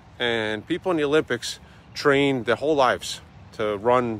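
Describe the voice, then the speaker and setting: A man talks with ordinary pitch variation in a dry sound with no echo. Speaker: motivational vlogger. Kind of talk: motivational vlog talk. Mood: earnest, encouraging. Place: waterside. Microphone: phone near.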